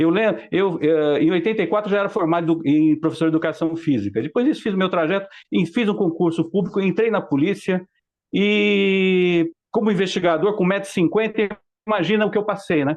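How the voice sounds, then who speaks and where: A man with a high voice talks at a fairly quick pace, his loudness very even and his pitch varying in an ordinary way. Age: 60s. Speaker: mature student and former police investigator. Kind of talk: group discussion contribution. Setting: video call.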